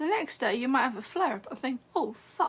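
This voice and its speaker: A woman speaks with an English accent in a raised, projected voice at a high pitch. Her tone is bright and sharp, with lively intonation. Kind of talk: casual livestream talk. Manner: halting.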